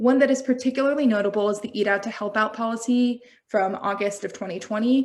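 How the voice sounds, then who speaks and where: On a very clean recording with a silent background, a woman with a plain, everyday voice talks at a fairly quick pace, her fairly high pitch held in fairly even intonation. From United States. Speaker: health systems researcher presenting at a symposium. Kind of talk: conference presentation.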